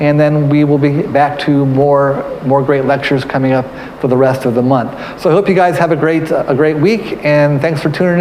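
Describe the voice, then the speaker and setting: At a fairly quick pace with hardly any pauses and very even loudness, the speech comes with audible room echo and noticeable background noise. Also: man. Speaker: museum curator. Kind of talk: live-streamed history talk. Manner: halting, many repetitions and fillers.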